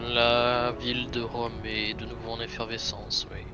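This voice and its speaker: A man puts on a character voice at a medium pitch and a moderate pace. Loud background noise runs behind him. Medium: actual play. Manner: stiff, formal.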